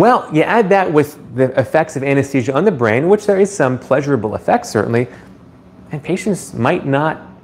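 At a moderate pace, a man speaks with very wide pitch swings over light background noise. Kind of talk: live stream chat answering viewers. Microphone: phone near.

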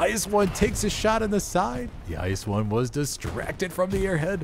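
At a moderate pace, a man speaks in an animated tone at a high pitch with very wide pitch swings. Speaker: esports commentator. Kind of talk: live sports-style game commentary. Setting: studio booth commentary. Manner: animated, excitable play-by-play.

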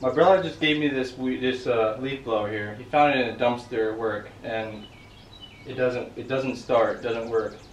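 A man speaks at a fairly slow pace with fairly even intonation. Audible room echo and light background noise are present. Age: 20s. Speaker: DIY builder. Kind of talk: casual talk to camera. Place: garden. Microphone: camera far.

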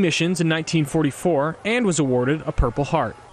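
Noticeable background noise runs under this recording. A man with a fairly high pitch talks at a very fast pace. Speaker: TV news reporter. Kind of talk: TV news report.

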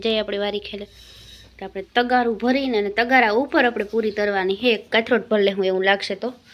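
Fairly high woman's voice, delivered in a flat monotone. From Saurashtra, Gujarat. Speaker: village vlogger. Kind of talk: casual vlog narration.

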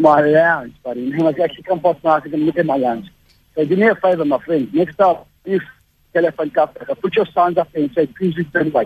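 This man has an unremarkable speaking voice, fairly high in pitch, with ordinary pitch variation. He talks at a fairly quick pace in a dry, close sound with no echo. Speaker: prank call victim. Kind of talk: heated argument on phone. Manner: aggressive, combative.

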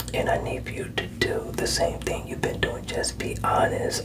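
Whispering at a moderate pace, a man speaks. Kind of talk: counseling session talk to a client. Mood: calm, encouraging. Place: office. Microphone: webcam.

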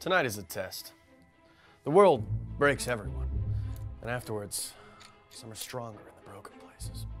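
A man speaks at a moderate pace in a gruff, put-on character voice pitched in the middle range, with long, frequent pauses, big swings in loudness, and clear music in the background. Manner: blunt, macho, gruff.

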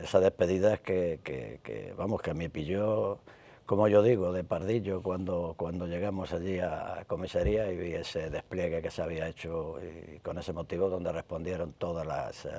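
Very deep and low, this man's voice carries a dark, mellow tone. He speaks at a moderate pace with ordinary pitch variation. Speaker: guest. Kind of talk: interview answer. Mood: warm, grateful, reflective. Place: studio. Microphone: lapel.

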